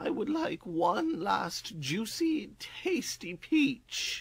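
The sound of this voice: The speaker is a man. He performs in a cartoonish character voice.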